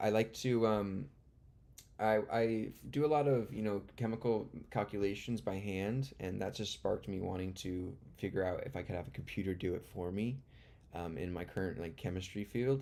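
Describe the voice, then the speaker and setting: A man's dark, mellow tone comes through at a fairly low pitch, with ordinary pitch variation and a moderate pace. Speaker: live-streaming beginner programmer. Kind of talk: live stream chat and study. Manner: halting.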